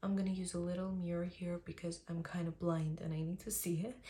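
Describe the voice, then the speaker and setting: In an Armenian accent, a woman speaks at a moderate pace, somewhat breathy, with a dark, mellow tone, fairly low pitch and monotone, flat intonation. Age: 20s. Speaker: beauty vlogger. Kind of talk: tutorial. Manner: casual, chatty.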